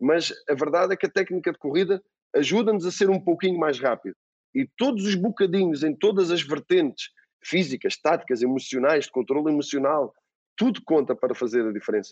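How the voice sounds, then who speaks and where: Speaking at a fairly quick pace in a European Portuguese accent, a man with a high pitch uses lively intonation at very even loudness, the sound dry and close with no echo. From Portugal. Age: 40s. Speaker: football coach. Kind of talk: interview. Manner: halting, repeats words.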